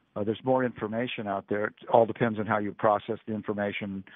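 A man with an American accent at a fairly quick pace, with fairly even intonation. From California Central Valley. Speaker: basketball coach. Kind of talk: interview. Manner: halting, many fillers.

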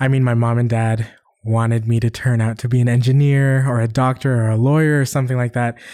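A man with a Canadian accent and medium pitch speaks very fast in a monotone, flat intonation with very even loudness, on a very clean recording with a silent background. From Western Canada. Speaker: musician and producer. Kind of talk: casual interview.

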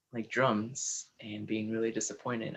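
Speaking at a fairly slow pace with a Spanish accent, a man keeps a fairly low pitch and a flat, monotone intonation. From Peru. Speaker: podcast host. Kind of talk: interview conversation.

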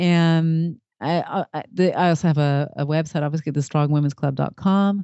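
This voice has an American accent. It moves at a moderate pace. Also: woman. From California and Western Australia. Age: 40s. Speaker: podcast host and former caterer. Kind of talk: interview. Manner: halting, many restarts.

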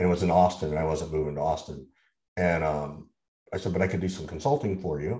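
Very deep and low, a man's dark, mellow voice races at a very fast pace with ordinary pitch variation. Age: 50s. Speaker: sales podcast co-host and consultant. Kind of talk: casual chat.

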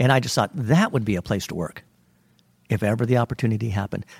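A man with an American accent and medium pitch speaks at a fairly quick pace with lively intonation, long, frequent pauses, and a somewhat breathy sound. The recording is very clean with a silent background, dry and close with no echo. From California Central Valley. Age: 60s. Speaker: theater wig master. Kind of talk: interview.

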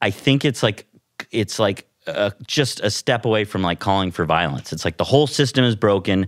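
A man's unremarkable speaking voice, fairly low in pitch, with ordinary pitch variation at a moderate pace, dry and close with no echo, on a very clean recording over a silent background. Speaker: comedian. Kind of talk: casual chat.

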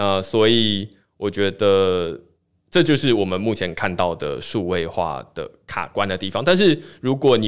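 A man with a Taiwanese accent speaks with lively intonation in a very clean recording with a silent background. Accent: Taiwanese Mandarin. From Taiwan, Tainan. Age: 20s. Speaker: blockchain newsletter founder. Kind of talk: casual interview chat.

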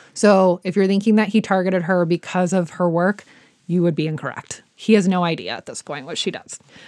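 A woman speaks at a medium pitch with an American accent. The recording is very clean, with a silent background. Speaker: true crime podcast host. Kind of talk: casual storytelling chat.

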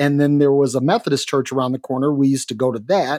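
A man with an American accent and a fairly high pitch speaks at a very fast pace. The recording is very clean and silent in the background, with a dry, close sound and no echo. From Detroit, US Midwest (teen years in Minnesota). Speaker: guest co-host. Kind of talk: casual chat.

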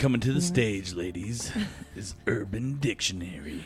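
Over clear background noise, a man puts on a character voice with a fairly low pitch at a moderate pace. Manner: hyped, showy.

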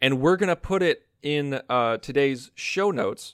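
A man with an unremarkable speaking voice at a fairly slow pace, ordinary pitch variation, in a very clean recording with a silent background and a dry, close sound with no echo. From United States. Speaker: podcast co-host. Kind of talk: casual podcast chat.

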